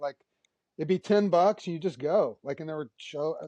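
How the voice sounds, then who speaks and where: Speaking at a fairly quick pace with an American accent, the voice has a dark, mellow tone and a dry, close sound with no echo. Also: man. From Texas. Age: 60s. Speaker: rock musician. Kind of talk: casual chat.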